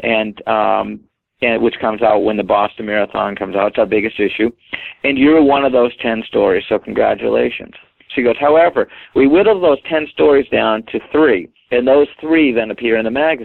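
A man speaks with a New England accent. His pace is moderate. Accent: New England American. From Maine, US (Portland). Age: 50s. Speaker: weight-loss marathon runner. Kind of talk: interview.

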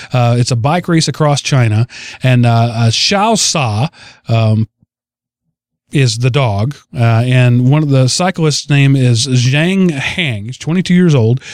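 With an American accent, a man uses a normal speaking voice at a fairly high pitch, speaking at a fairly slow pace with ordinary pitch variation. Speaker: podcast host. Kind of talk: casual chat.

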